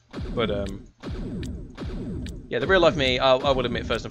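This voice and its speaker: Music plays in the background as a man speaks with an English accent. His pitch is medium, with ordinary pitch variation. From England. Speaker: gaming streamer. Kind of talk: gameplay commentary with casual chat. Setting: live stream. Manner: calm, collected; hesitant, many fillers.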